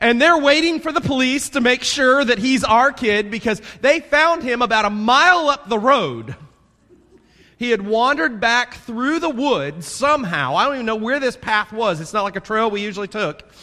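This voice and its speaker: In a Southern US accent, the speaker talks at a moderate pace in a raised, projected voice, animated and bright with a sharp tone and lively intonation. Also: man, extremely high pitch for a man. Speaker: pastor. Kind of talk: sermon. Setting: church. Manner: loud.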